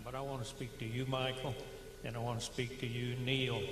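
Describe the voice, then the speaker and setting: A man's medium-pitched, monotone, flat voice, with audible room echo and noticeable background noise. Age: 60s. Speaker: retiree, public meeting speaker. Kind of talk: public comment. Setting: public meeting with microphone.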